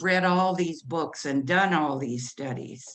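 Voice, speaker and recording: A woman with a fairly low pitch at a very slow pace. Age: 70s. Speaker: audience member asking a question. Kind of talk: audience question. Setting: video call.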